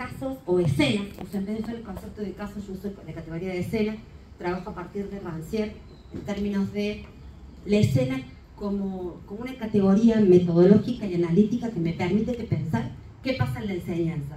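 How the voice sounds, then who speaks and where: A woman's medium-pitched voice with lively intonation, plus noticeable background noise and audible room echo. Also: fairly quick pace, big swings in loudness. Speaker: education researcher. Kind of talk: conference talk. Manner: fast.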